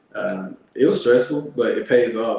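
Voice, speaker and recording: A man speaking with an American accent is heard over noticeable background noise. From Alabama, US South. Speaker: Air Force veteran and landscaping business owner. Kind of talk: interview. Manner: halting, many fillers.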